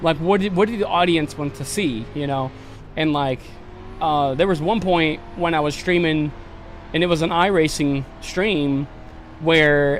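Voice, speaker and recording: There is noticeable background noise behind this man. He talks at a moderate pace, his pitch fairly high with ordinary variation. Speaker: gaming livestreamer. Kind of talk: casual livestream chat. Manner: halting, repeating words.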